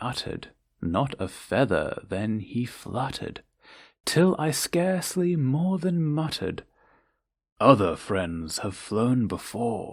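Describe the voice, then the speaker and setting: With a British accent, the speaker talks at a very slow pace with very wide pitch swings on a very clean recording with a silent background. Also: man. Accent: British, received pronunciation. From England. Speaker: narrator. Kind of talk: poetry reading. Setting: home recording. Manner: slow, calming.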